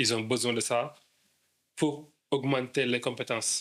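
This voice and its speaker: The speaker is male. His delivery stays monotone, with flat intonation. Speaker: English school founder. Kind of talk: interview. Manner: stammering.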